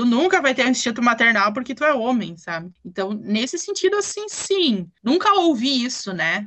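A woman's high voice at a moderate pace, with very wide pitch swings and hardly any pauses. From southern Brazil, German-colonized town in Rio Grande do Sul. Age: 20s. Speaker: German teacher. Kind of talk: casual interview.

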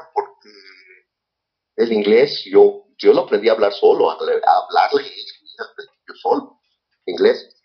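Long pauses come often as a man talks at a moderate speed. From Mexico, San Luis Río Colorado, Sonora. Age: 60s. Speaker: martial arts grandmaster. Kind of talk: interview.

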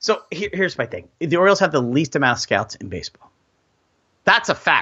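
A man speaks with a plain, everyday voice. His intonation is lively. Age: middle-aged. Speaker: sports podcast co-host. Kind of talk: casual chat.

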